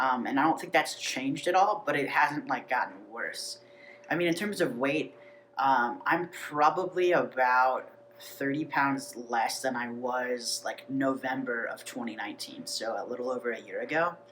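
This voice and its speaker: Against noticeable background noise, a man with a fairly high voice talks at a moderate pace with ordinary pitch variation. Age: 30s. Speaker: video blogger. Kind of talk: casual vlog. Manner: many fillers (um, uh, like).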